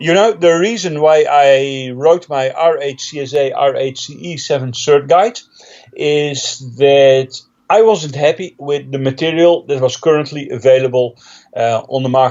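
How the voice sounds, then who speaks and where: With a Dutch accent, a man speaks at a fairly slow pace. His pitch is fairly high, with ordinary variation. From Netherlands. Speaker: technical trainer and author. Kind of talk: interview. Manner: hesitant with fillers.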